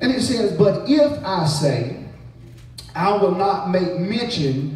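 A man speaks in an animated tone. The room echoes audibly over light background noise. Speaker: preacher. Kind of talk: revival sermon, call-and-response with congregation. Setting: church with congregation. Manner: rising, rhythmic preacher cadence with repeated refrains; animated, exhorting the crowd. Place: church. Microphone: camera far.

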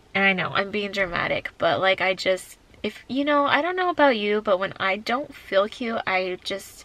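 Over noticeable background noise, a woman talks at a moderate pace in a medium-pitched voice. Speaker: family vlogger. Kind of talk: casual vlog talk to camera. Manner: casual, filler-heavy.

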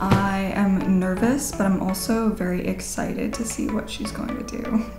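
Clear background music accompanies a woman talking at a moderate pace. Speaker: goth makeup artist. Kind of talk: interview answer. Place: home room.

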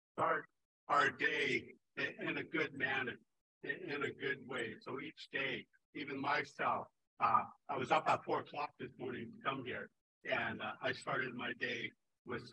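A man with a bright, sharp tone speaks at a fairly slow pace, with long, frequent pauses and ordinary pitch variation. Noticeable background noise is present. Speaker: conference speaker. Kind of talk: opening address. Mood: warm, humorous. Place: hall. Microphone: podium.

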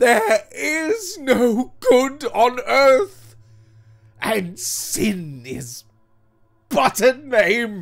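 Putting on a character voice, a man speaks at a very slow pace with an extremely high pitch, big pitch swings, vocal fry and a fairly bright tone.

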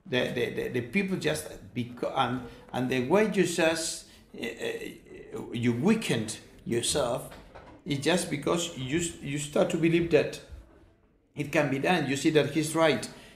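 Speaking in a Spanish accent, a man with a fairly high, somewhat breathy voice and ordinary pitch variation talks at a fairly slow pace with long, frequent pauses. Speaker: professor and charity founder. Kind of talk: interview. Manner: halting.

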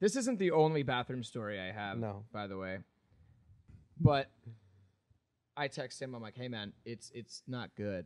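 A man speaks at a medium pitch with lively intonation. The background is quiet. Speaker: podcast host. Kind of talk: casual chat. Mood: relaxed, humorous storytelling. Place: home room. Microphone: studio mic.

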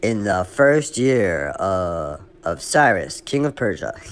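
Putting on a character voice, a man booms at a fairly low pitch and a very slow pace, with very wide pitch swings. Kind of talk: formal, scriptural reading. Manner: exaggerated, resonant.

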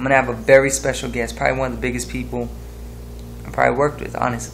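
Light noise behind a man speaking. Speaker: music maker vlogger. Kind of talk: casual vlog chat. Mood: happy, excited. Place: home room. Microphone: webcam.

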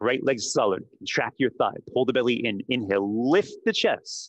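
Against a quiet background, a man speaks very slowly in a dry sound with no echo. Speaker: yoga instructor. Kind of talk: guided yoga class, instructions given. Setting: studio and Zoom class. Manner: brisk, rhythmic, commanding cues; clipped, directive, counting breaths. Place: gym. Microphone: headset.

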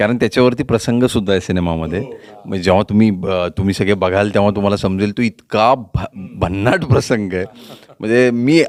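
This man has an unremarkable speaking voice, fairly low in pitch with ordinary pitch variation, heard as a dry, close sound with no echo. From Pune, Maharashtra. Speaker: actor. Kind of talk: interview.

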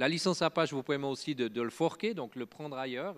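A man speaks with a Swiss accent. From French-speaking Switzerland. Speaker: open source foundation director and software engineer; conference speaker. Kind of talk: conference talk. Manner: halting, many filler words and repetitions. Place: stage. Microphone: handheld.

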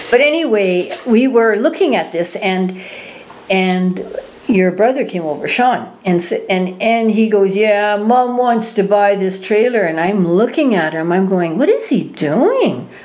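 A woman speaks at a fairly slow pace with a Canadian accent. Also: lively intonation. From Canada (Manitoba, then northwestern Ontario). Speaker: writer and storyteller; storyteller. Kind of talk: casual chat. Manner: reflective, emotional. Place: studio. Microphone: studio mic.

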